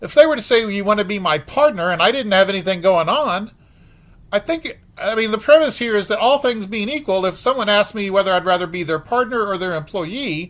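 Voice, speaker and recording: A man talks at a fairly quick pace. His voice is high, with lively intonation. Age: 60s. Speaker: podcast host. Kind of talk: reflective monologue. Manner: halting, many fillers.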